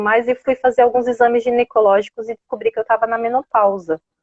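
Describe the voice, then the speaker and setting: Here a woman speaks with a fairly high pitch. Her intonation is monotone and flat. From Brazil, São Paulo city. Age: 40s. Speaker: low-carb lifestyle influencer and personal organizer. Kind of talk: interview on a live stream. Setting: online live stream.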